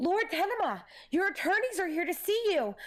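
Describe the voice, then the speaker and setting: A put-on character voice delivered at an extremely high pitch and a fairly quick pace. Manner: formal, put-on character voice.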